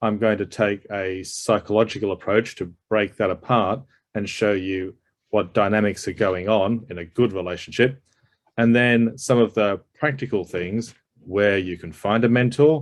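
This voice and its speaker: A man at a fairly low pitch, moderate in pace, with fairly even intonation. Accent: Australian. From Australia. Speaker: psychologist and executive coach. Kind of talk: presentation.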